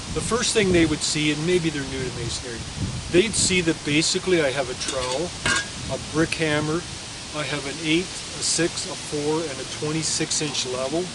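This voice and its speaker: Amid noticeable background noise and audible room echo, a man with a fairly high pitch talks at a moderate pace with ordinary pitch variation. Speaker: mason and toolmaker. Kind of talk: on-site demonstration talk. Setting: outdoors on job site. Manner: loud; halting.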